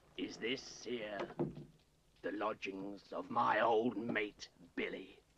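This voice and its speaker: In a put-on character voice with a menacing tone, a man speaks at a medium pitch and a very slow pace, with long, frequent pauses. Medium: short film. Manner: wheedling, menacing.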